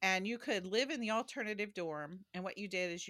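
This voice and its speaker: A woman's medium-pitched voice with a bright, sharp tone and ordinary pitch variation, dry and close with no echo, in a very clean recording with a silent background. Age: 60s. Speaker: historian and theologian. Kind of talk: interview conversation. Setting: home office.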